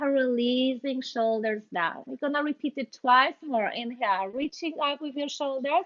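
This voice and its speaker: In a Polish accent, a high-pitched woman talks at a moderate pace with hardly any pauses. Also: ordinary pitch variation. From Poland. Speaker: yoga instructor. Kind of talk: guided yoga class. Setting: video call. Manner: halting, many fillers.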